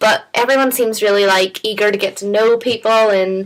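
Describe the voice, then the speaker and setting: A woman with a Northern Irish accent at a medium pitch. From Northern Ireland. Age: 20s. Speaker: international exchange student. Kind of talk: interview. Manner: casual, hesitant.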